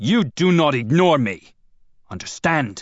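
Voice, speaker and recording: A man's put-on character voice, fairly high-pitched, fairly slow, with very wide pitch swings and a hissing sound. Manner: hissing, menacing.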